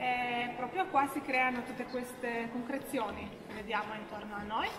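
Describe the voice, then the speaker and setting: A woman speaks at a high pitch. Background noise is noticeable. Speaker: cave tour guide. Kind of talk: guided tour talk. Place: tunnel cave. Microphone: camera far.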